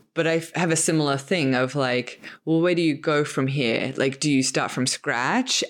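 In a very clean recording with a silent background, a woman with an Australian accent talks at a very deep, low pitch with ordinary pitch variation. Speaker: podcast host. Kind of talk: casual interview conversation.

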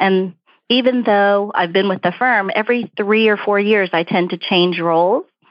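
A woman speaks at a medium pitch and a moderate pace. She has a normal speaking voice with fairly even intonation. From Brooklyn, New York. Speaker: diversity director at an accounting firm. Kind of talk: interview answers, professional conversation.

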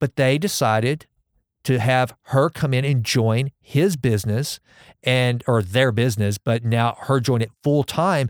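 A man with an unremarkable speaking voice and a medium pitch speaks with fairly even intonation in a very clean recording with a silent background. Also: dry, close sound with no echo. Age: 40s. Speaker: podcast host. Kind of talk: casual interview chat. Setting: studio.

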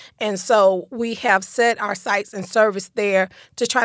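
A normal speaking voice, fairly slow and fairly even in intonation, in a dry, close sound with no echo. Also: woman. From Detroit, raised in Central Florida. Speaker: real estate broker and community advocate. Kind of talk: casual interview conversation.

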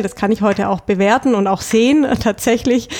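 A woman's fairly high voice at a moderate pace. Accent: southern German. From Stuttgart, southern Germany (Swabia). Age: 30s. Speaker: bank department head. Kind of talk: casual interview.

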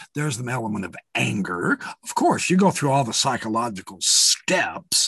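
In a dry, close recording with no echo, a man speaks at a moderate pace with very wide pitch swings and vocal fry. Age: 60s. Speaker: former religious apologist and online video maker. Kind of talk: casual interview. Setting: video call.

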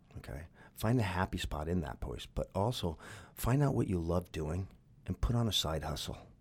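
A man with a very deep, low pitch shows vocal fry. His pitch swings very widely. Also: moderate pace, very clean recording, silent background. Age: 50s. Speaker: motivational speaker and health product promoter. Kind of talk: casual interview. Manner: loud; animated.

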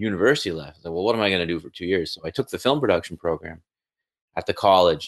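A man speaks with a normal speaking voice at a fairly low pitch, with ordinary pitch variation. The background is quiet. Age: 40s. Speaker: university teacher, former music producer. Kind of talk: casual interview chat.

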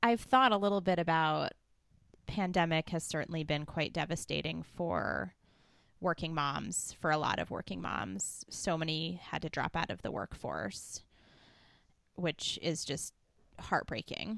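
A woman's fairly low, vocal-fried voice with lively intonation at a fairly slow pace. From US East Coast. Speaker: podcast host. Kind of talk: interview.

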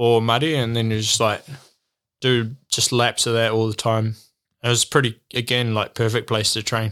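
At a moderate pace, a man speaks in monotone, flat intonation at a medium pitch. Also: very clean recording, silent background. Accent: New Zealand. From New Zealand. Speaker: professional mountain bike racer. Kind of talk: casual interview chat. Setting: in person, UK. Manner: hesitant, many fillers.

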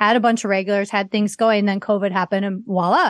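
Speaking very fast in an American accent, a woman with a medium pitch comes through in a dry, close sound with no echo against a quiet background. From US Midwest, Chicago area (Waukegan). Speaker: comedian and online comedy business owner. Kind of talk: casual chat.

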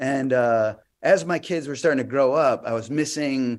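Delivered in an ordinary speaking voice with an American accent, the speech shows ordinary pitch variation. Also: man. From Chicago, US Midwest. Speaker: comedy juggler. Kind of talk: casual interview. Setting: video call.

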